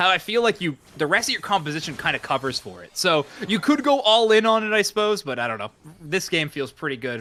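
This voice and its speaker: A man talks at a fairly quick pace in a bright, sharp tone, his pitch swinging very widely. His loudness rises and falls in big swings. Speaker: esports caster. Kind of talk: live commentary.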